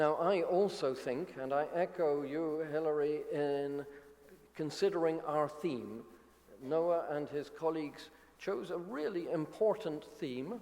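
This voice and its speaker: With audible room echo and noticeable background noise, a man speaks at a fairly high pitch and a fairly slow pace. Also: ordinary pitch variation. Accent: British. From United Kingdom. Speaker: academic society leader. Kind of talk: conference opening speech.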